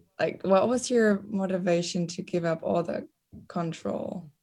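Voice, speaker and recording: A woman with a German accent speaks at a fairly slow pace in a medium pitch, her tone dark and mellow and her intonation fairly even. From Germany. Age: young. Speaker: exchange student. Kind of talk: casual chat.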